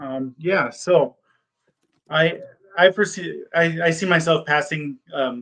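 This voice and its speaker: A man speaks with fairly even intonation. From United States. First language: German. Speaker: PA school applicant. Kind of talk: mock interview. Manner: halting, many fillers and repeats.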